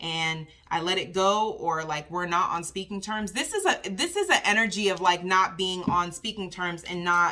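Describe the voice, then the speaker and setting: Bright and sharp in tone, a woman speaks with an animated delivery at a medium pitch and moderate pace, with ordinary pitch variation. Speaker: tarot reader. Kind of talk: tarot reading livestream. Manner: casual, animated.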